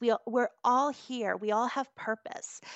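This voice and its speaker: A woman speaks at a high pitch with an American accent. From US New Hampshire. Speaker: hypnotherapist. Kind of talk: interview.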